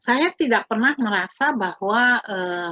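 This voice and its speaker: Her intonation rises and falls in a lively way. The woman's pace is very slow. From Indonesia, Jakarta. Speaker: Indonesian language lecturer. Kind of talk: interview.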